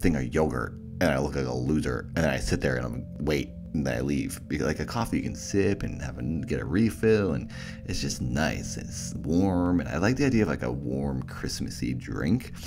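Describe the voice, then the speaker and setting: A man speaks at a fairly quick pace in a very deep, low voice. Music plays in the background. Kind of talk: casual podcast talk.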